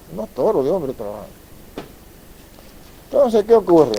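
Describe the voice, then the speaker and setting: Speaking with very wide pitch swings, a man's voice climbs and drops far. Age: 70s. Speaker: son of a local benefactor, storyteller. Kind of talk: public talk, reminiscence.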